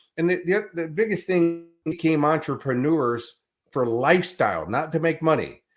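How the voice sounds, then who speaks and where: An animated man with an American accent, fairly high-pitched and fairly quick, with ordinary pitch variation, in a very clean recording against a silent background. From US Midwest, Chicago. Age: 60s. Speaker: life and business coach. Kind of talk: interview.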